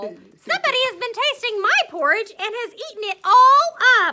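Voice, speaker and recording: A woman's put-on character voice, squeaky and extremely high-pitched, raised and projected at a moderate pace. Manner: small voice.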